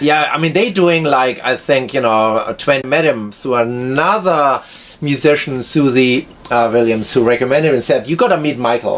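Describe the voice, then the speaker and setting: A man with a German accent speaks at a moderate pace with fairly high pitch, ordinary pitch variation and very even loudness over noticeable background noise. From Germany. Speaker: violinist and film composer. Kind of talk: casual interview chat.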